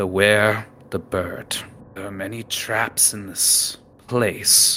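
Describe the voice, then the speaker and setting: In a put-on character voice, a man speaks very slowly at a fairly low pitch with monotone, flat intonation and big swings in loudness. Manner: defiant, authoritative.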